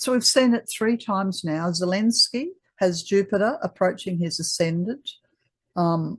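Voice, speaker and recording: Against a quiet background, a woman with an Australian accent talks at a fairly slow pace in a somewhat breathy voice. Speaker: astrologer. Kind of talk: presentation. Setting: video call. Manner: halting.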